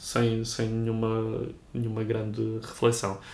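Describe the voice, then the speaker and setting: A man talks with a Lisbon accent. His pitch sits in the medium range. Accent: European Portuguese (Lisbon). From Lisbon, Portugal. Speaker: writer. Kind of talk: interview conversation. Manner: halting, frequent word repetitions.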